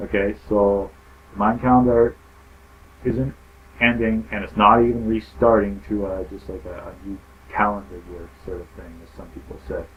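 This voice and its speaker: This soft-spoken man has a fairly low pitch and lively intonation, with big swings in loudness. He talks at a moderate pace with long, frequent pauses. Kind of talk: casual explainer talk to camera. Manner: soft-spoken in parts.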